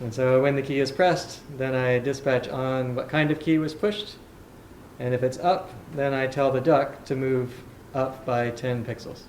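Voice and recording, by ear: A man's medium-pitched voice, slightly mellow in tone, at a fairly slow pace, with audible room echo. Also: fairly even intonation.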